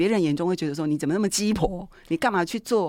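The speech is very fast, with lively intonation. The recording is very clean over a silent background. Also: woman. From Taiwan, Taichung. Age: 50s. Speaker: middle school art teacher. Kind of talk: interview.

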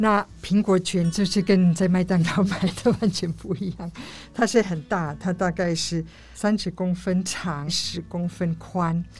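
With a German accent, a woman speaks fairly slowly in a fairly low pitch, her intonation fairly even and touched by vocal fry. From Germany. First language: German (speaking Chinese). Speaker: co-op member. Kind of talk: interview.

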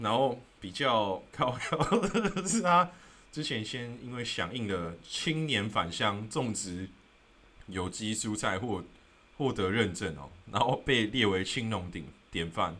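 A man's bright, sharp voice at a very slow pace, with very wide pitch swings. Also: medium pitch for a man. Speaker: podcast host. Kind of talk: solo explainer talk. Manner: casual, many filler words.

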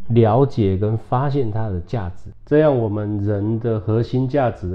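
In a plain, everyday voice, a man speaks at a fairly slow pace with a fairly low pitch and ordinary pitch variation. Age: 40s. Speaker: spiritual hall leader and entrepreneur. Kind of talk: casual interview.

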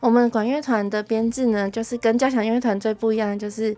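In a normal speaking voice, a woman talks at a fairly quick pace with fairly high pitch and fairly even intonation. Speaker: music ensemble administrator. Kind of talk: interview chat. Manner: laughs often.

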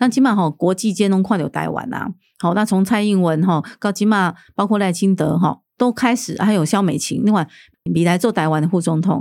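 A woman speaks in a plain, everyday voice. Her pitch is medium, with ordinary variation. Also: fairly quick pace. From Taiwan, Keelung (Nuannuan). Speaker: city councillor and candidate. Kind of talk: political interview.

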